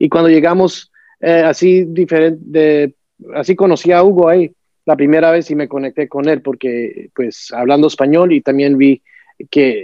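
This man has an unremarkable speaking voice and a fairly high pitch. He keeps a moderate pace, and his pitch varies in an ordinary way. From United States, Colombian family. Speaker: men's support group facilitator. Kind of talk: casual interview.

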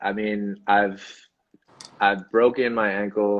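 A man's fairly low voice in a flat monotone. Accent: American. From Boston. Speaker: actor, model and athlete. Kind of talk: interview.

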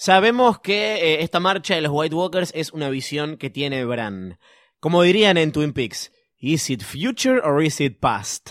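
A man talks at a fairly slow pace and a fairly high pitch, with very wide pitch swings. The recording is very clean recording, silent background. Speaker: podcast host. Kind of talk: casual chat.

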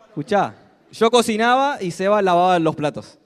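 A man speaks with a Rioplatense accent in a high pitch and an animated tone. His pitch swings very wide. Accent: Argentine Rioplatense Spanish. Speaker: motivational speaker at a sales business event. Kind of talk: motivational speech. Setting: stage with audience. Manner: loud, animated.

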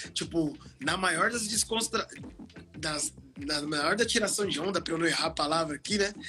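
Music plays in the background as a man talks. His intonation is lively and his pace moderate. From Osasco, São Paulo, Brazil. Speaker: DJ and music producer. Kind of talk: casual interview. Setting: online live stream. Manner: animated, slangy.

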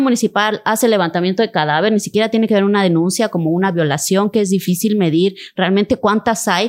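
A woman with a medium pitch and an unremarkable speaking voice talks at a fairly quick pace. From Cintalapa, Chiapas, Mexico. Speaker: state official and human rights lawyer. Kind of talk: interview conversation.

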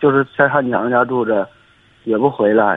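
With an ordinary speaking voice, a man talks at a medium pitch with fairly even intonation. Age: 30s. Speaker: construction worker. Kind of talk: call-in advice conversation.

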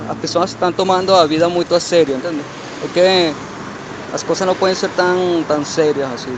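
Against noticeable background noise, a man with a non-native accent speaks at a high pitch and moderate pace, his intonation fairly even. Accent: foreign accent in Portuguese. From Portugal. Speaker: internet personality. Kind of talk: casual interview. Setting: outdoors on a call. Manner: halting, mixes Spanish and Portuguese. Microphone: muffled audio.

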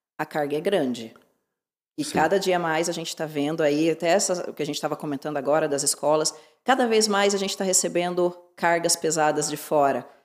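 On a very clean recording with a silent background, a woman speaks fairly quickly at a fairly low pitch, with ordinary variation in her intonation. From Curitiba, southern Brazil. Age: 30s. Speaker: dentist and social media influencer. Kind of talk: casual interview.

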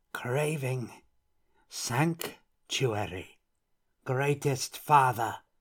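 In a put-on character voice, a man speaks at medium pitch with ordinary pitch variation, moving at a very slow pace with long, frequent pauses, and some hissing comes through on an otherwise very clean recording with a silent background.

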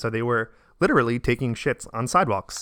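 Very fast speech comes from a man at medium pitch with a bright, sharp tone. The recording is very clean with a silent background, its sound dry and close with no echo. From Staten Island, New York. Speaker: physician assistant. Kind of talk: casual chat.

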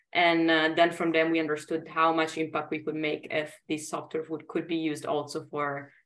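A woman with an Italian accent speaks at a moderate pace in a very deep, low pitch, with monotone, flat intonation. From Italy. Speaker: startup founder and CEO. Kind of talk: interview.

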